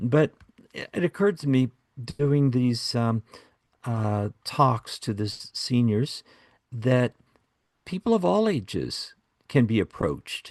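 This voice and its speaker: A man with a medium pitch and lively intonation speaks at a very slow pace with long, frequent pauses, in a dry, close sound with no echo and a quiet background. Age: 70s. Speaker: beekeeper podcast host. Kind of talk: casual chat.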